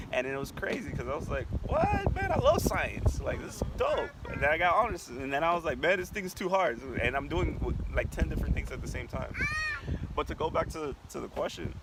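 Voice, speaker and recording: Fairly quick speech from a man, with noticeable background noise. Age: 20s. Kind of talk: interview. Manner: stammering.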